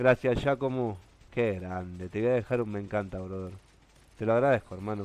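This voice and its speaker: A man with a Rioplatense accent talks at a fairly quick pace with ordinary pitch variation in a dry recording with no echo. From Argentina. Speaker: gaming streamer. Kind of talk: live stream chat while gaming. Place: home room.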